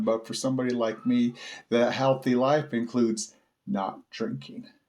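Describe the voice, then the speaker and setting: Moderate pace, medium pitch and ordinary pitch variation from a man with an ordinary speaking voice. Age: 40s. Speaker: recovering alcoholic vlogger. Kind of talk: personal testimony.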